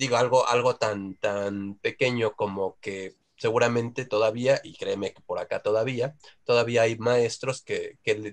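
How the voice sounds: At a moderate pace, a man talks with fairly low pitch and fairly even intonation.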